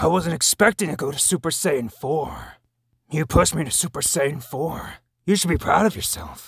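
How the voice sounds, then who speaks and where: Using a put-on character voice, a man speaks at a moderate pace and a fairly high pitch. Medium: voice reel. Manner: shouted, strained yells.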